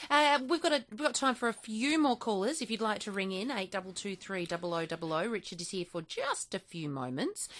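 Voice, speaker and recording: In an Australian accent, the speaker talks fairly quickly with very wide pitch swings and hardly any pauses. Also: woman, medium pitch for a woman. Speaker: radio host. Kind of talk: radio call-in chat.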